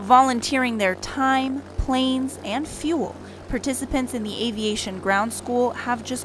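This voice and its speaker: The speaker goes at a fairly slow pace with ordinary pitch variation. Noticeable background noise runs underneath. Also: woman. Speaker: news reporter and anchor. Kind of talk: TV news package narration.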